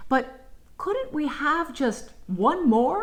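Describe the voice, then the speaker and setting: A woman's soft-spoken, put-on character voice, high in pitch. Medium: read story. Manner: dreamy, soft.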